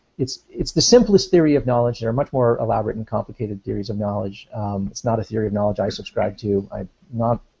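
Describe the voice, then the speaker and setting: Hardly pausing, a man speaks at a very fast pace in a somewhat breathy, dark and mellow voice. His medium pitch moves with ordinary variation. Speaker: philosophy discussant. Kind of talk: casual discussion explaining philosophy. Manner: halting.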